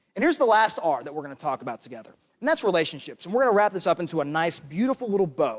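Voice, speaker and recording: A man with an American accent and very wide pitch swings, in a dry, close sound with no echo. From England (early childhood) then United States. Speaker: teacher, keynote speaker. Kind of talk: talk to an audience. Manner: animated storytelling.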